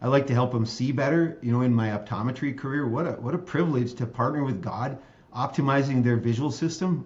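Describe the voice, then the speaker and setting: A man with a medium-pitched, somewhat breathy voice talks at a fairly quick pace with ordinary pitch variation, and the room echo is audible. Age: 60s. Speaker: state legislator and optometrist. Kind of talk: interview conversation.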